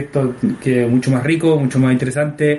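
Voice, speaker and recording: A man's voice amid noticeable background noise. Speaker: art director and game creator. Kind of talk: casual chat. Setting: home recording. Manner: halting.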